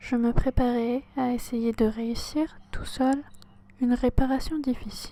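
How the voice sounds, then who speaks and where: A woman is whispering. Her pace is very slow. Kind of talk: audiobook reading. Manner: whispered.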